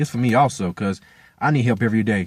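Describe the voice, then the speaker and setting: A man races along at a very fast pace, his intonation lively. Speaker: amateur football player giving motivational talk. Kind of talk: motivational vlog monologue. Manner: halting, unscripted.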